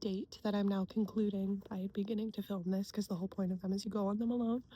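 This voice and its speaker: Quiet and somewhat breathy, the voice has a dark, mellow tone, fairly even intonation and an American accent. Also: woman. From US Pacific Northwest. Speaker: cartoonist and illustrator vlogger. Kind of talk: casual vlog. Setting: outdoors at a lake.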